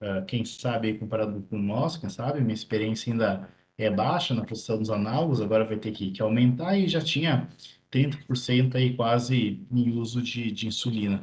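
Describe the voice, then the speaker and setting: Somewhat breathy, a man's voice sits at a medium pitch with ordinary pitch variation and a moderate pace. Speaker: nephrologist presenting congress highlights. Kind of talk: medical lecture. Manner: clear.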